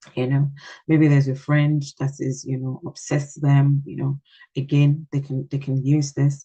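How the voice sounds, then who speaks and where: A woman speaks in a very deep, low voice with a dark, mellow, somewhat breathy tone. Her intonation is monotone and flat, and the sound is dry and close with no echo. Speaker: parenting coach giving a talk. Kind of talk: online workshop talk. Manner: hesitant, many fillers and repeats.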